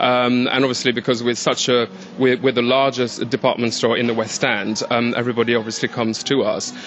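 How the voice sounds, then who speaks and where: Over noticeable background noise, a man at a medium pitch speaks at a fairly quick pace with monotone, flat intonation, hardly any pauses and very even loudness. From France. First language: French. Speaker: store employee. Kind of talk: casual interview chat. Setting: department store.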